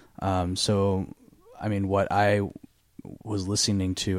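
Recorded very cleanly against a silent background, a man speaks with a very deep, low pitch. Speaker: singer-songwriter. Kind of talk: casual chat. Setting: studio.

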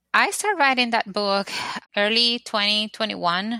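A woman with a Spanish accent, bright, sharp tone and fairly even intonation, dry, close sound with no echo on a very clean recording with a silent background. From Dominican Republic. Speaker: architect and author. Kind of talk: casual interview chat.

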